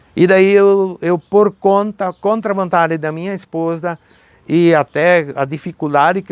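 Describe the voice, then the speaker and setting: Someone speaks with a German accent in a dry, close sound with no echo. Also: man. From southern Brazil, Rio Grande do Sul, German-speaking rural community. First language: German (speaking Portuguese). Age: 70s. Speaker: former mayor and businessman. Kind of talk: interview testimony.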